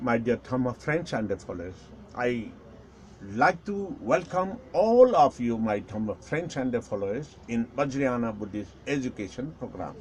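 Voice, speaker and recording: Lively intonation marks this man's fairly slow speech, delivered at a medium pitch with a Nepali accent. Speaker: Buddhist teacher. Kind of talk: lecture. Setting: live stream.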